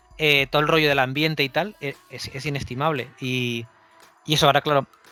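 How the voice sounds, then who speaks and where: Music plays in the background. A man speaks at a fairly high pitch and a fairly quick pace, with fairly even intonation. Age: 40s. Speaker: comic book artist. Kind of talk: casual interview chat. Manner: halting, many repetitions and restarts.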